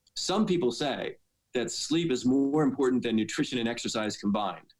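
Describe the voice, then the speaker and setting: This is a man with a normal speaking voice and ordinary pitch variation. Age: 60s. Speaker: dentist and fitness athlete. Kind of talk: podcast interview answer.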